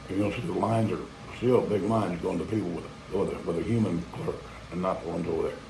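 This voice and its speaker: Talking at a very fast pace with an American accent, a man uses a fairly low pitch and ordinary pitch variation amid audible room echo. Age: old. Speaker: vlogger. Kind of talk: casual monologue. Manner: rambling, halting.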